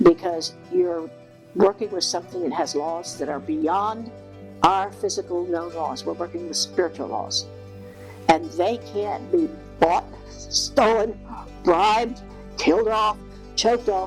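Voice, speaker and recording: Music plays in the background as a woman speaks. Her pace is fairly slow, with long, frequent pauses. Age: 80s+. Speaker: hypnotherapist. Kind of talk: spiritual talk to camera.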